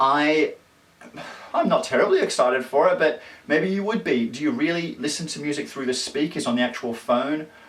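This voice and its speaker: Against noticeable background noise, a man with an Australian accent and a fairly high pitch talks at a fairly quick pace with lively intonation. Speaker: tech vlogger. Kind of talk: casual tech news vlog. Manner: fast; animated.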